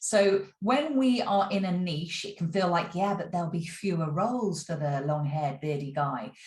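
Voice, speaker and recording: A woman talks at a moderate pace with a fairly low, somewhat breathy voice and ordinary pitch variation. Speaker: acting career coach. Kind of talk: vlog. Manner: casual with many fillers.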